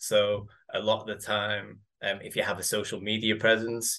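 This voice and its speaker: A man with an English accent speaks at a moderate pace in a fairly low pitch. His tone is bright and sharp, and the background is quiet. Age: 30s. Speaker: physiotherapist and father. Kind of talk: casual chat. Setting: video call.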